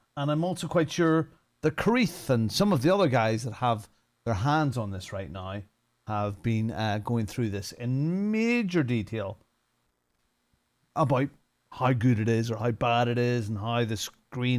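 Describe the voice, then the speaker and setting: On a very clean recording with a silent background, a man with a Northern Irish accent speaks fairly slowly at a medium pitch with lively intonation. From Northern Ireland. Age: 50s. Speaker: sim racing streamer. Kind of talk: casual livestream commentary. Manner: casual, chatty.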